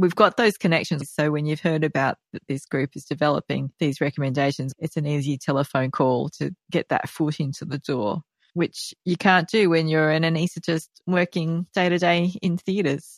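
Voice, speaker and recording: Speaking at a moderate pace with an Australian accent, a woman uses a very deep, low pitch and ordinary pitch variation. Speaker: society president and podcast host. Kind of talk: podcast interview.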